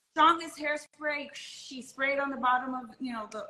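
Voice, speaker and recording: A woman's raised, projected voice, high in pitch, at a moderate pace. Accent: American. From Miami, Florida. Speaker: model and designer. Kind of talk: casual interview.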